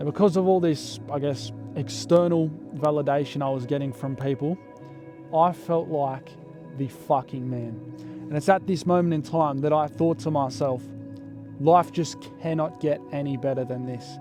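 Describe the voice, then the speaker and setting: With music in the background, a man in an Australian accent talks at a moderate pace, with a fairly high pitch and ordinary pitch variation. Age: young. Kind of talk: storytime narration to camera. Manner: casual, profane.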